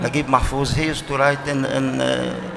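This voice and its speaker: With an Arabic accent, a man speaks in a fairly high pitch over noticeable background noise. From Arabic-speaking country. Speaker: writer. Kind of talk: panel discussion. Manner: halting, repetitive.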